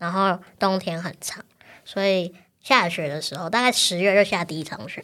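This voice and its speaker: Speaking at a moderate pace, a woman uses a medium pitch and a bright, sharp tone, with big swings in loudness. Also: ordinary pitch variation. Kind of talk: interview conversation. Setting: studio.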